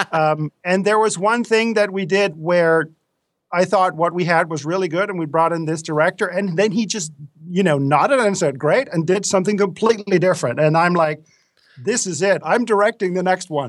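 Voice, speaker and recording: Recorded very cleanly against a silent background, a man with a Danish accent speaks at a moderate pace in a high pitch with ordinary pitch variation. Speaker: film director and course instructor. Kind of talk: interview.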